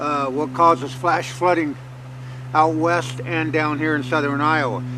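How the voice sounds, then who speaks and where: Noticeable background noise under fairly slowly paced talk. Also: man. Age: 60s. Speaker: farmer and hunting channel host. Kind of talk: outdoor tutorial. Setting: outdoors in a field. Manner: casual, halting with fillers.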